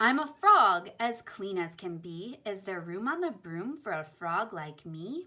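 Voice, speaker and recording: A croaky, put-on character voice moves at a fairly slow pace with hardly any pauses. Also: woman, medium pitch for a woman. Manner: polite, hopeful.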